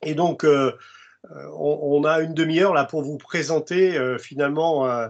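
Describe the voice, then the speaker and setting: With fairly even intonation, this man delivers his words very slowly. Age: 60s. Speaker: construction industry expert and presenter. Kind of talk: webinar presentation. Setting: video conference. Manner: halting, many hesitations.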